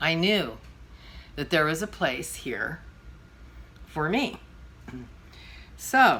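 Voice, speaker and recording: A woman speaks very slowly with long, frequent pauses. Her fairly low voice has vocal fry, a bright, sharp tone and very wide pitch swings. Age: 60s. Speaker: vlogger and podcaster. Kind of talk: storytelling monologue. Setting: at home. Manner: casual, with fillers.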